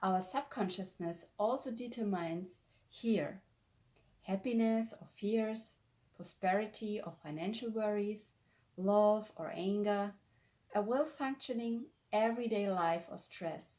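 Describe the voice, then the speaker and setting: Speaking at a fairly slow pace with a German accent, a woman has a medium pitch, a dark, mellow tone, ordinary pitch variation and big swings in loudness. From Germany. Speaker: spiritual lifestyle vlogger. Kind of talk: explanatory talk to camera.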